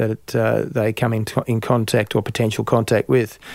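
This man speaks at a fairly quick pace with an Australian accent and a medium pitch, on a very clean recording with a silent background. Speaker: farmer and industry body chair. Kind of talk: interview. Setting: studio in Melbourne.

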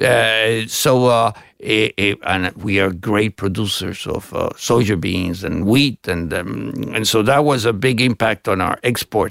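Speaking with a Spanish accent, a man with fairly low pitch talks at a fairly slow pace with hardly any pauses and ordinary pitch variation, in a dry, close sound with no echo. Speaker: ambassador. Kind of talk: interview. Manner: halting, many fillers.

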